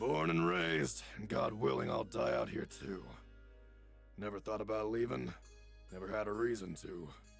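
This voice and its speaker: In a raspy, gruff, put-on character voice, the speaker moves at a moderate pace with very wide pitch swings and long, frequent pauses over clear music in the background. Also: man, very deep, low pitch for a man. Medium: virtual streamer. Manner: wary, terse.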